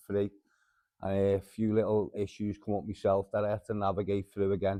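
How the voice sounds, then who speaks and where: A man with a Liverpool accent, fairly low in pitch, at a fairly quick pace. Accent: Scouse. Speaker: mental health group founder. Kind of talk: podcast interview.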